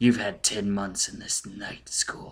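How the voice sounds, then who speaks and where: A man puts on a raspy character voice at a fairly low pitch. He keeps a fairly slow pace. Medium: read story. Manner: dry.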